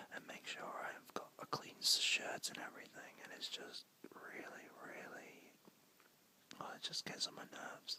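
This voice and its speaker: A man whispers at a fairly slow pace. His loudness swings widely. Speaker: ASMR creator. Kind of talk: ASMR whisper ramble. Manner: whispered.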